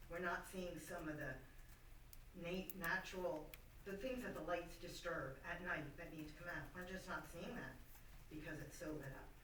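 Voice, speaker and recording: With long, frequent pauses, a woman speaks in fairly even intonation amid noticeable background noise and audible room echo. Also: moderate pace. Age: 60s. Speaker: resident making public comment. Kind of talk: public comment at a meeting. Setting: township board meeting room. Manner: loud; halting.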